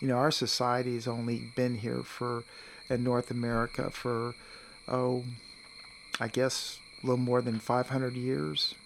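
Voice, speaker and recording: The speech moves at a fairly slow pace with fairly even intonation and long, frequent pauses, set against noticeable background noise. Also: man, medium pitch for a man. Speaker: experimental archaeologist and naturalist educator. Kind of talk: casual interview.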